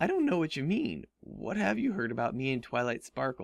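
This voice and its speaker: A man puts on a character voice at medium pitch. It sounds strained and moves at a fairly quick pace. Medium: read story. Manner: strained politeness.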